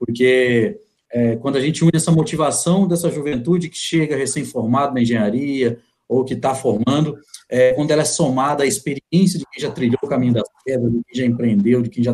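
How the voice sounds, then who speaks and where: At a moderate pace, a man with a fairly high pitch and ordinary pitch variation sounds somewhat breathy, with a dark, mellow tone. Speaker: podcast host. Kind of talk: live interview. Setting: online live stream.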